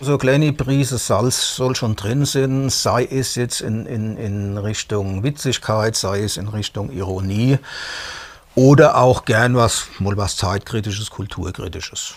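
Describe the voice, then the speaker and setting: Noticeable background noise sits under this man's voice. He talks at a very slow pace, medium in pitch with ordinary pitch variation. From Palatinate (Hinterpfalz), Germany. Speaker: band lyricist. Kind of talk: TV interview.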